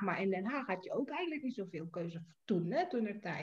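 A woman with an Indonesian accent speaks with very wide pitch swings. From Indonesia, Jakarta. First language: Indonesian (speaking Dutch). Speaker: writer. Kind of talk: casual chat.

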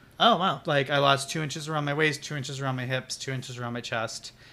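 Speaking loudly at a medium pitch, the man keeps a monotone, flat intonation. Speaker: podcast co-host. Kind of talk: casual chat. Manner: loud, projecting voice.

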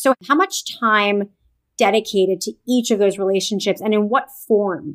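A woman speaks at a moderate pace in a medium pitch with ordinary pitch variation and an animated, enthusiastic tone. The sound is dry and close with no echo. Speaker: podcast host and author. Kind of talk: interview, casual conversational chat.

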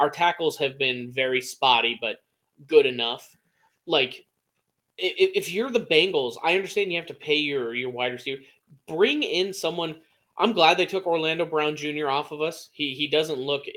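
A bright, sharp tone in an American accent, with ordinary pitch variation. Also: man, fairly high pitch for a man, moderate pace. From Massachusetts. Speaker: podcast co-host. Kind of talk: casual chat. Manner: animated.

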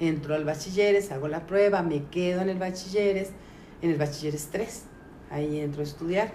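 With fairly even intonation, a woman speaks at a moderate pace in a fairly low pitch, and audible room echo surrounds her voice. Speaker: teacher. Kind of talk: life story interview. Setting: at her sister's house. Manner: halting.

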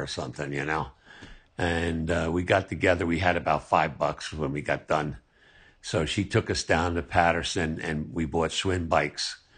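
A man's very deep, low voice with vocal fry and an American accent, over a quiet background. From New Jersey, US. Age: 70s. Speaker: interviewee, family elder. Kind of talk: casual interview, family storytelling.

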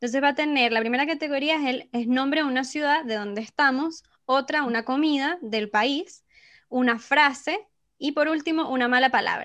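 In a Venezuelan accent, a woman speaks at a high pitch with ordinary pitch variation, in a very clean recording with a silent background. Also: moderate pace. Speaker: podcast host. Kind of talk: casual chat.

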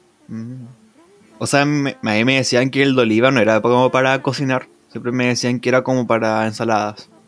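Noticeable background noise sits behind a man speaking at medium pitch. His pace is moderate and his intonation monotone and flat. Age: 20s. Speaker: podcast host. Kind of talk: casual chat.

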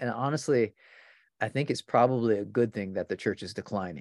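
A man with a normal speaking voice talks at medium pitch and a moderate pace. The sound is dry and close with no echo, in a very clean recording with a silent background. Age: 50s. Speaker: pastor. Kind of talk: casual interview conversation.

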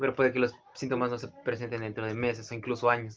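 A man with a Mexican accent talks at a very fast pace and medium pitch, in a flat, monotone delivery. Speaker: podcast co-host. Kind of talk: casual chat.

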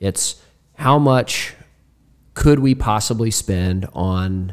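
A man's very deep, low voice. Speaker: podcast host. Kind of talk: casual podcast discussion.

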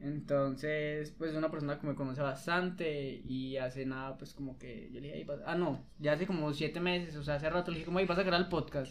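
In an ordinary speaking voice, a man talks at a fairly quick pace with fairly high pitch and fairly even intonation. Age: 20s. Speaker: podcast host. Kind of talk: casual chat.

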